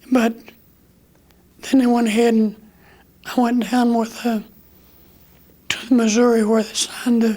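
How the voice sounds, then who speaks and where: This man speaks in an American accent at an extremely high pitch. His intonation is monotone and flat. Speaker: war veteran. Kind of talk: interview answer.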